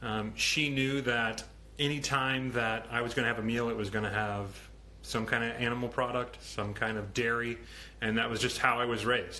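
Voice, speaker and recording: There is audible room echo around the speaker. He is a man with monotone, flat intonation. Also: medium pitch for a man, moderate pace. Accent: American. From Ohio, US Midwest. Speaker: vegan activist and social media host. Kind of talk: live stream talk. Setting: Instagram live stream. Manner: mumbles sometimes; outspoken, many filler ums.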